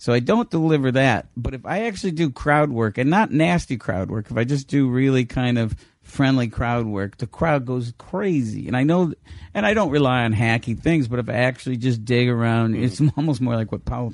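A man's normal speaking voice at medium pitch and moderate pace, with ordinary pitch variation. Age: 50s. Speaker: stand-up comedian. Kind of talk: casual chat.

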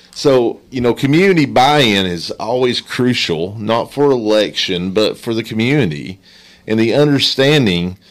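At a moderate pace, the speaker talks with lively intonation in an Appalachian accent. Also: man, medium pitch for a man. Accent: Appalachian Kentucky. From Letcher County, eastern Kentucky. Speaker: nonprofit director. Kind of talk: casual chat.

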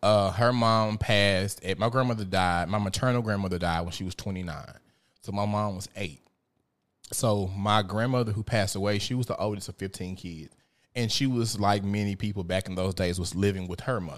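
On a very clean recording with a silent background, a man speaks at a fairly quick pace with fairly even intonation. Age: 30s. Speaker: podcast host. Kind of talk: casual chat.

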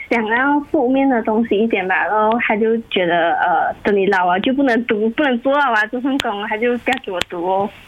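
Fairly high-pitched woman with lively intonation, moderate pace, hardly any pauses and very even loudness, over noticeable background noise. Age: 20s. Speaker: university student. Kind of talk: casual chat. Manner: halting.

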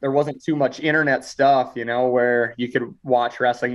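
This man has an American accent, a medium pitch, and a moderate pace. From US Midwest, small town. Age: 20s. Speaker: wrestler. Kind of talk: interview. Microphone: glitchy, cutting out connection.

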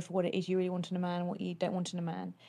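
In a British accent, a woman speaks at a medium pitch with a dark, mellow tone. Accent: British English, noticeable. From United Kingdom. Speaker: guest, host's former partner. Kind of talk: casual chat. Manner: bubbly, giggly, cheerful.

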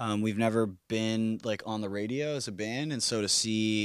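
Recorded very cleanly against a silent background, a man uses a normal speaking voice with fairly low pitch and fairly even intonation. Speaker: musician, band singer. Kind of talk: interview chat.

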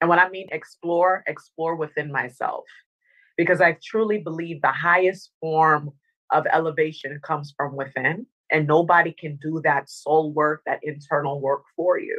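With a slight Dominican accent, a woman speaks at a moderate pace in a very deep, low voice with fairly even intonation. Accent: slight Caribbean (Dominican). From Northern Virginia, US (born in Dominica). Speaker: motivational speaker and former TV anchor. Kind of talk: interview. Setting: remote call.

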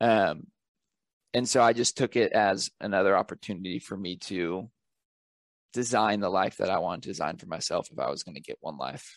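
This man has a normal speaking voice, fairly low in pitch, moving at a fairly quick pace with lively intonation and big swings in loudness. The sound is dry and close with no echo, and the background is quiet. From Northern California. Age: 20s. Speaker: author and travel photographer. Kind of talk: interview. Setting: podcast mic.

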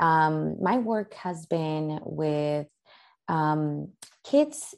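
A woman speaks with a Spanish accent in a dark, mellow tone with ordinary pitch variation. The recording is very clean, with a silent background. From Tijuana, Mexico. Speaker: therapist. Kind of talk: interview.

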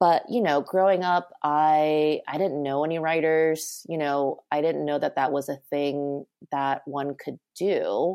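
With an American accent and a dark, mellow tone, the voice moves at a fairly slow pace in a very clean recording with a silent background. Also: woman, very deep, low pitch for a woman. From Southern California suburbs. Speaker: novelist and doctoral student. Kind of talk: interview.

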